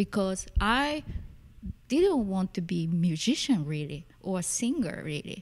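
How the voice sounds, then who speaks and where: Lively intonation from a woman with a Japanese accent, medium pitch and a fairly slow pace. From Tokyo, Japan. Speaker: musician and performance artist. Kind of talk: casual interview chat.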